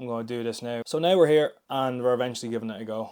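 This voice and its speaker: A man at medium pitch with an Irish accent, very fast pace and fairly even intonation, on a very clean recording with a silent background. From Ireland. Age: 20s. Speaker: fitness vlogger. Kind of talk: casual vlog monologue. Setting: gym.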